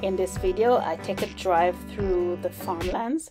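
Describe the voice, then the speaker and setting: With music playing in the background, a woman speaks in a fairly low pitch with a Jamaican accent. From South Manchester, Jamaica. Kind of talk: casual vlog talk to camera.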